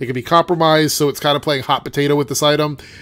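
A man's nasal voice, fairly high in pitch, with a fairly bright tone

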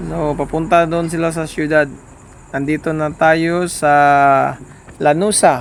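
A man's fairly high voice at a very slow pace, with monotone, flat intonation. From Surigao del Sur, Mindanao. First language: Surigaonon/Visayan (speaking Tagalog). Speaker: travel vlogger. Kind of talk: vlog narration. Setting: driving on the road. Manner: halting.

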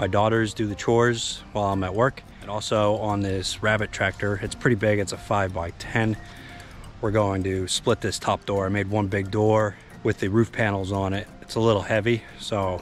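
Over faint music in the background, a man with a fairly low pitch speaks at a moderate pace in a monotone, flat intonation, the sound dry with no echo. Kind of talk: casual vlog chat. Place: garden. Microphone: phone near.

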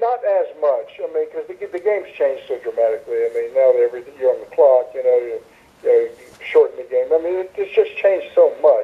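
A man talks at a fairly quick pace with big swings in loudness. Background noise is noticeable. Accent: American. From Tampa, Florida. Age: 70s. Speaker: retired pro wrestler and wrestling trainer. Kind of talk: interview.

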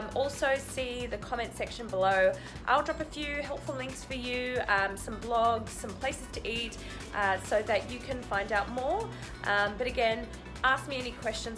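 Over clear music in the background, a woman with an Australian accent speaks fairly high at a moderate pace, with ordinary pitch variation. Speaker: travel vlogger. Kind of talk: casual vlog chat. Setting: outdoors. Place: home room. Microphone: phone near.

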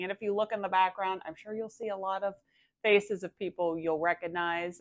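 With a normal speaking voice, a woman talks at a fairly quick pace and a fairly low pitch, using ordinary pitch variation over a quiet background. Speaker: reseller vlogger. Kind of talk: casual vlog chat. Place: home room. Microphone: lapel.

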